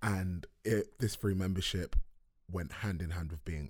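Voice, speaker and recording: Somewhat breathy and at a moderate pace, a man talks in a London accent with fairly even intonation. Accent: London English (multicultural London). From South London. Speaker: filmmaker and writer. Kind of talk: casual chat. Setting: studio.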